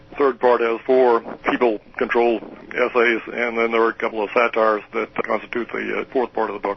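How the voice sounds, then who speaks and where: Over noticeable background noise, a man with an American accent talks fairly quickly in a monotone, flat intonation. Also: medium pitch for a man. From US Midwest, southern Illinois. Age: 70s. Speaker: retired professor. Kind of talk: interview. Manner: halting.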